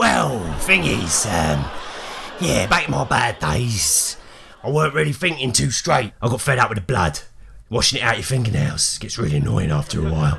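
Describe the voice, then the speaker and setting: In a put-on character voice, a man talks at a moderate pace with a raspy, fairly low pitch and very wide pitch swings over light background noise. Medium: actual play. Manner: blunt, rough working-class grammar.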